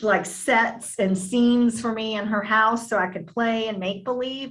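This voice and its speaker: A woman with a slight Southern US accent drawls at a fairly high pitch. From US South, Virginia Beach area, Virginia. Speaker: actress. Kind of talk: interview. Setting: video call.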